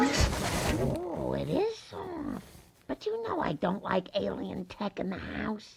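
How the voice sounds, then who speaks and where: In a put-on character voice, a female-sounding speaker talks at a very slow pace. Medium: video game.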